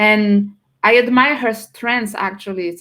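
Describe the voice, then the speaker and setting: A woman's fairly high voice with ordinary pitch variation at a moderate pace. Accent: French. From France. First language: French. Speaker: personal branding strategist. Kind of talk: casual interview chat.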